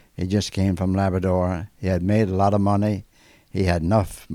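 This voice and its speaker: On a very clean recording with a silent background, a man with a dark, mellow tone and fairly low pitch speaks with fairly even intonation. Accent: Newfoundland. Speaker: former ship engineer. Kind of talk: documentary interview.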